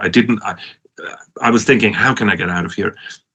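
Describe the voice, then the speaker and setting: A man speaks with a Swiss accent in a bright, sharp tone. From Switzerland, Lucerne area. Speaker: professor and entrepreneur. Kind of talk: conference talk. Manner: halting, many restarts.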